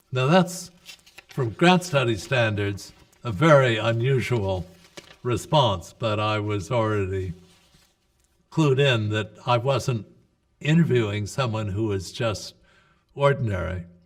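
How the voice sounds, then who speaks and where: Somewhat breathy, a man talks at a fairly slow pace with lively intonation and long, frequent pauses. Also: medium pitch for a man. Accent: American. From US Northeast. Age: 80s+. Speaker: psychiatrist and researcher. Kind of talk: interview. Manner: hesitant with fillers.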